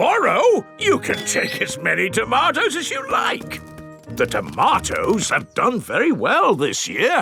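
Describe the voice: A cartoonish character voice moves at a fairly slow pace over faint music in the background.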